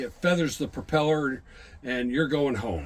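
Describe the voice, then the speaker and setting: The speaker is a man. His voice shows ordinary pitch variation. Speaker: museum docent and navy veteran navigator. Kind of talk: guided tour explanation. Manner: loud; halting.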